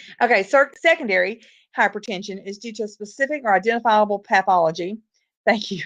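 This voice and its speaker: A woman talks at a very fast pace with lively intonation and fairly high pitch. The background is quiet. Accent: Southern US. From US South. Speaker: nursing or medical lecturer. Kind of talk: lecture.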